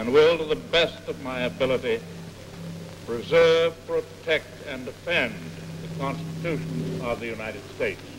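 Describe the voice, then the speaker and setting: A man at medium pitch and moderate pace, lively intonation, big swings in loudness, long, frequent pauses, music in the background. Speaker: US president giving inaugural address. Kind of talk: inaugural address, oath of office. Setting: 1945 archival recording.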